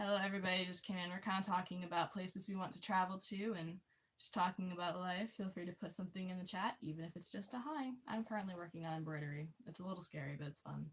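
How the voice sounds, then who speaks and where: In an American accent, a woman with a medium pitch and ordinary pitch variation speaks at a very fast pace with hardly any pauses, sounding somewhat breathy. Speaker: livestream host. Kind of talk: casual chat. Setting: livestream. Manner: reading chat aloud.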